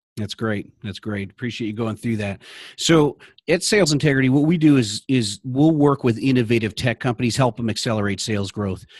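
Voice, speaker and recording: The sound is dry and close with no echo as a man of medium pitch talks over a quiet background with ordinary pitch variation. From Illinois, Naperville (Chicago area). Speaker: sales coach and podcast host. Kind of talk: interview podcast. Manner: animated.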